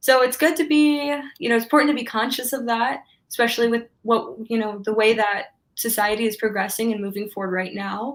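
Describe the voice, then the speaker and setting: A woman's normal speaking voice, fairly high in pitch, with an American accent, a fairly quick pace and ordinary pitch variation. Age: 20s. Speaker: sociology student. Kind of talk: interview.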